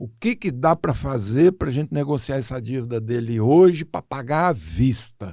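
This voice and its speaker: Over a silent background in a very clean recording, a man with a dark, mellow tone talks at a moderate pace with lively intonation and hardly any pauses. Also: medium pitch for a man. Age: 80s+. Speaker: financial consultant. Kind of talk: casual interview storytelling. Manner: animated.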